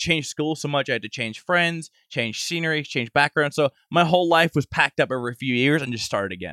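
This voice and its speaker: Speaking at a fairly quick pace with hardly any pauses, a man with a fairly high pitch and a bright, sharp tone is heard in a dry, close sound with no echo on a very clean recording with a silent background. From Northern Ireland. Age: 20s. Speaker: YouTuber and entrepreneur. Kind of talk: casual interview chat.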